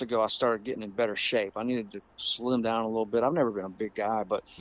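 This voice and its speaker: With a Southern US accent, a man talks at a fairly quick pace in a medium pitch and fairly even intonation, recorded with a dry, close sound with no echo. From US South, Pensacola, Florida. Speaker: guitarist and educator. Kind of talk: casual interview chat. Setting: remote call.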